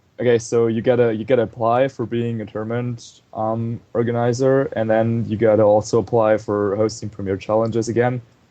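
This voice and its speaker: A man with a German accent, medium pitch, fairly quick pace, hardly any pauses and a monotone, flat intonation. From Germany. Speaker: competitive video game player. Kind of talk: casual chat. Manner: hesitant, many fillers.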